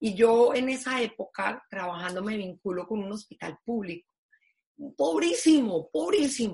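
Speaking at a fairly slow pace, a woman with a fairly high, somewhat breathy voice makes very wide pitch swings and big swings in loudness. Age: 50s. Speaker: foundation president. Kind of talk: interview.

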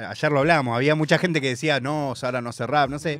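A man with a Rioplatense accent and a fairly high pitch talks at a very fast pace on a very clean recording with a silent background. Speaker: radio host. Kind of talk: casual radio talk. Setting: radio studio. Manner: rambling.

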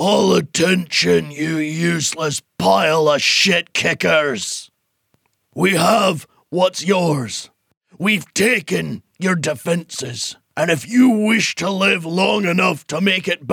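A raspy put-on character voice from a man, high-pitched and very slow. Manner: menacing, commanding.

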